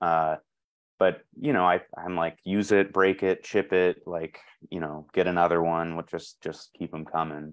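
Against a quiet background, a man with an American accent speaks at a fairly slow pace, his very deep, low pitch held to fairly even intonation. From US South. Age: 30s. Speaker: potter and teacher; teacher. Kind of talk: casual panel talk. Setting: video call. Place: home room. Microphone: video call.

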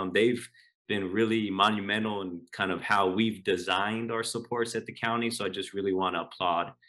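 A man with an American accent at a moderate pace against a quiet background. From Los Angeles. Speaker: county education partner. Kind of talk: conference presentation. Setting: video call. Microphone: video call.

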